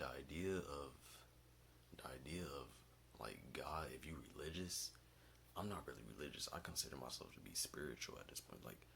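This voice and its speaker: A whispering man at a moderate pace, with long, frequent pauses and audible room echo. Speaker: vlogger. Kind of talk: casual monologue. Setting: basement at home. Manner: quiet.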